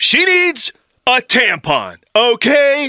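In a put-on character voice, a man talks slowly at an extremely high pitch with a bright, sharp tone and very wide pitch swings, the sound dry and close with no echo.

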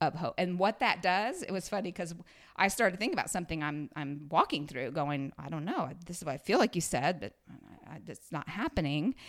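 A woman with an unremarkable speaking voice, fairly low in pitch, at a fairly quick pace with big swings in loudness. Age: 50s. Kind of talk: casual chat.

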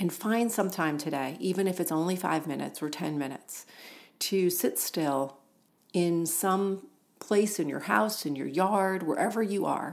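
Very clean recording with a silent background, a woman at a medium pitch with ordinary pitch variation and a fairly slow pace. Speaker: podcast host and spiritual author. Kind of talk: reflective monologue.

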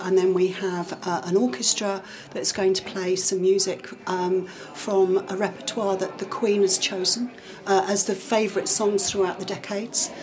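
A woman talks with a monotone, flat intonation at a medium pitch. Background noise is noticeable. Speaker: parish council clerk. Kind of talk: casual interview chat. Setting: village hall event.

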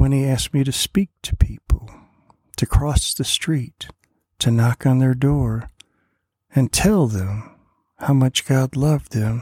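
Somewhat breathy, a man talks at a fairly slow pace with long, frequent pauses. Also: medium pitch for a man, ordinary pitch variation. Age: 60s. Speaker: preacher. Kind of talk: devotional sermon.

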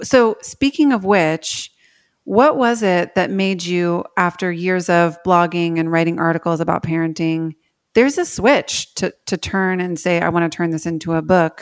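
This is an ordinary speaking voice, delivered at a moderate pace with ordinary pitch variation. The recording is very clean, and the background is silent. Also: woman, fairly low pitch for a woman. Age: 30s. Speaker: podcast host and writing coach. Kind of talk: interview.

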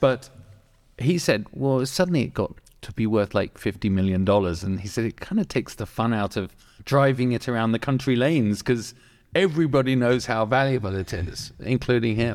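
A man with a plain, everyday voice, medium pitch and ordinary pitch variation talks at a fairly quick pace in a very clean recording with a silent background. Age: 50s. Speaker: podcast host. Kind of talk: casual chat. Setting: garage.

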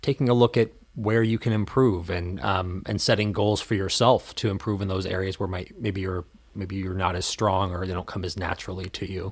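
A man speaks with a normal speaking voice at a fairly low pitch and moderate pace. His intonation is fairly even, and the recording is very clean with a silent background. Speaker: college podcast host. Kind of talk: casual chat. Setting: studio. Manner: relaxed, conversational.

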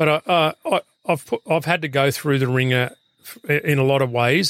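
Here is a man with an Australian accent. His medium-pitched voice keeps a fairly even intonation. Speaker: former police rescue officer and firefighter. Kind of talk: casual interview. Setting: in a van. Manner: halting.

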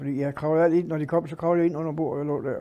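Speaking at a very fast pace, a man has a fairly high pitch and a dark, mellow tone. His intonation is fairly even. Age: 80s+. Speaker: retiree telling war memories. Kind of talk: storytelling interview.

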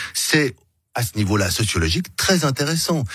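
The recording is very clean, with a silent background. In it, a man's pitch swings very widely. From Switzerland, Geneva (Meyrin). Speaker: political candidate. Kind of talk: radio interview. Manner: hesitant, with repetitions.

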